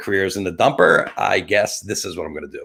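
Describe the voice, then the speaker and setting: A man talks in an animated tone with a New Jersey accent. His pace is fairly quick. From New Jersey (Atlantic City). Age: 50s. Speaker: talk show host and photographer. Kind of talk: live webcast monologue.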